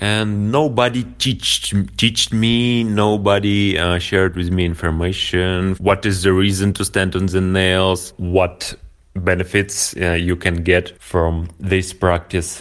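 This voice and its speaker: At a very slow pace, a man talks with a very deep, low pitch. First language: Russian (speaking German). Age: 30s. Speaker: nail-board practice entrepreneur. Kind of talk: interview. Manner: halting.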